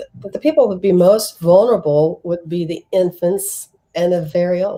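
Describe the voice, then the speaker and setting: At a moderate pace, a woman talks in a normal speaking voice. Her pitch variation is ordinary. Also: medium pitch for a woman. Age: 60s. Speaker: tarot reader. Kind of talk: casual chat.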